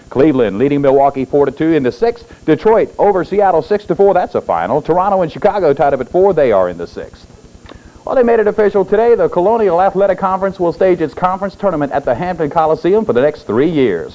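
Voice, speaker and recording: Over music in the background, a man speaks at a very fast pace in a high pitch with lively intonation. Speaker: local TV sports anchor. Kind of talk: local TV news sports report.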